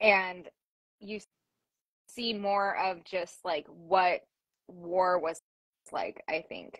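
A woman speaks at a very slow pace with long, frequent pauses, her medium pitch delivered in a flat monotone while her loudness swings widely, recorded dry with no echo against a quiet background. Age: 30s. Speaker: history podcast host. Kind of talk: interview. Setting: live stream. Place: home room. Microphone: video call.

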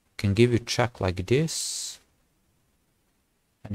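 This man talks quietly in a fairly low voice that is somewhat breathy. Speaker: chess streamer. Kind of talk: gameplay commentary. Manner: halting. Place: home room.

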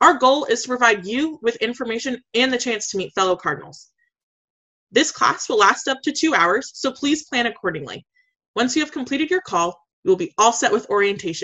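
A woman with a high voice at a fairly quick pace, over a quiet background. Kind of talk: tutorial. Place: home room. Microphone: webcam.

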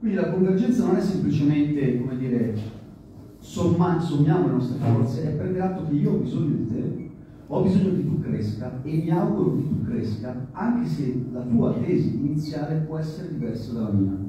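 A man speaks at a moderate pace with very wide pitch swings, strong room echo and light background noise. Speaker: factory worker activist. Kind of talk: panel discussion. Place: hall.

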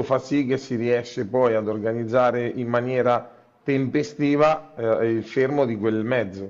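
A man's voice with fairly even intonation. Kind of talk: interview answer. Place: office. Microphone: earbuds.

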